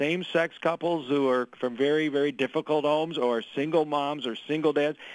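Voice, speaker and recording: Using a plain, everyday voice, a man with an American accent speaks at a moderate pace with a fairly high pitch and ordinary pitch variation. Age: 60s. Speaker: political candidate. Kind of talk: radio interview.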